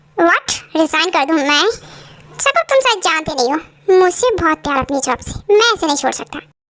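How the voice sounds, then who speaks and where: A woman's put-on character voice, extremely high in pitch, with lively intonation. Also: fairly quick pace. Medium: audio drama. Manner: calm, composed.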